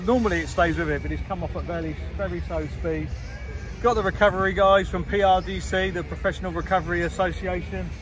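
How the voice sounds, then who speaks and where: A man's very rapid delivery over noticeable background noise. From South West England, Somerset. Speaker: monster truck driver and vlogger. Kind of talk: casual vlog narration. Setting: outdoors at a truck show.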